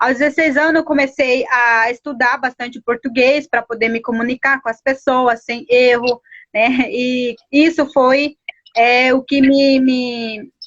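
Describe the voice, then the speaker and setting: This woman has a high-pitched voice. She talks at a fairly slow pace with fairly even intonation. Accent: Paraguayan. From Guarani Kaiowá village, Mato Grosso do Sul, Brazil. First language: Guarani (speaking Portuguese). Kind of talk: interview. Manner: halting, many fillers.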